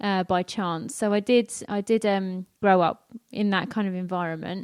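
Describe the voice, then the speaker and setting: A slight North London accent, fairly even intonation, and a dry, close sound with no echo on a very clean recording against a silent background. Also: woman, medium pitch for a woman, moderate pace. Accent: slight North London accent, drops T and H. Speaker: church member, emergency planner and mum. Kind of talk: testimony interview.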